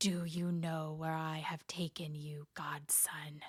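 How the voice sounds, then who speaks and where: A put-on character voice, raspy and hissing, moves at a fairly slow pace. Its intonation stays monotone and flat. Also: woman, very deep, low pitch for a woman. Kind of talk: bedtime story. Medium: read story. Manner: menacing, stern.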